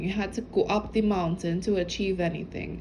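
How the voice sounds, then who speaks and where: This woman's voice is somewhat breathy, moving at a moderate pace with ordinary pitch variation. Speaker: spiritual channel reader. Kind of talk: intuitive message reading. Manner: halting; casual.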